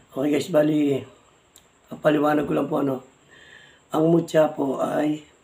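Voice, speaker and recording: The man speaks at a fairly slow pace. There is noticeable background noise. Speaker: vlogger, amulet hunter. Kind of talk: casual vlog talk. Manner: halting.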